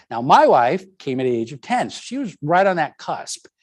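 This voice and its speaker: A man speaks at a moderate pace, his high pitch making very wide swings. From US, Puerto Rican family. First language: Spanish. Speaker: lecturer. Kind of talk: lecture. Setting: stage with audience, streamed on video call.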